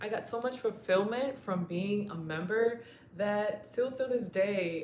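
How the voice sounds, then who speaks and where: This is a woman's voice with ordinary pitch variation. The room echo is audible. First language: Spanish. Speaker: former club member, muralist. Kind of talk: testimony.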